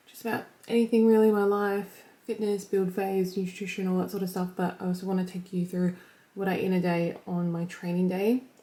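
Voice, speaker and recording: A woman speaks quietly in a dark, mellow tone with flat, monotone intonation and big swings in loudness. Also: medium pitch for a woman, fairly quick pace. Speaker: fitness vlogger and online coach. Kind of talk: casual vlog. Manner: fast, filler-heavy chatter; quiet, holding voice down.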